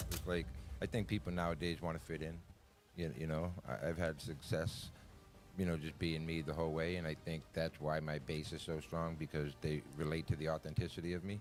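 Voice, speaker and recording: The voice carries a Boston accent. Its intonation stays fairly even. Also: man, very deep, low pitch for a man, fairly quick pace. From Boston, Massachusetts. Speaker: cannabis brand owner. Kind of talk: casual interview chat. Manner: brash.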